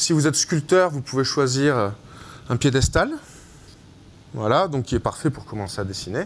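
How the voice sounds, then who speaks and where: A man's fairly high-pitched voice with lively intonation, at a moderate pace. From France. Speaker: digital artist. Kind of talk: live demonstration. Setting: stage with audience. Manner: hesitant, many fillers.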